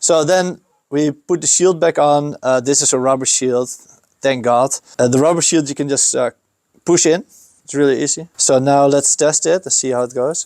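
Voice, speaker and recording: In a Dutch accent, a man speaks at a moderate pace with a fairly high pitch and fairly even intonation, the sound dry and close with no echo. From Netherlands. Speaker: skate shop owner. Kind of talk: tutorial. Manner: casual with hesitations.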